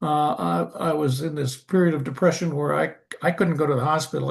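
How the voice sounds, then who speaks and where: The voice is somewhat breathy, with fairly even intonation. The pace is fairly quick. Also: man. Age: 80s+. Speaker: surgeon and medical missionary. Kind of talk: testimony. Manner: halting.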